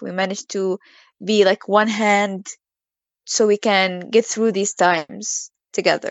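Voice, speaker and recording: Speaking at a fairly slow pace with long, frequent pauses, a woman with an Arabic accent holds a medium pitch in a flat monotone. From Gaza, Palestine. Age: 20s. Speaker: literature student. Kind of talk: interview.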